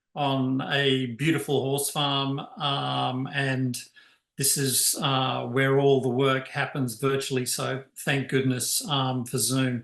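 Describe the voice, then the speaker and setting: A man speaks very slowly with an Australian accent. His fairly high voice stays monotone and flat. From Tasmania, Australia. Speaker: chief scientific officer of a charity. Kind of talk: presentation. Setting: video call. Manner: hesitant, many fillers.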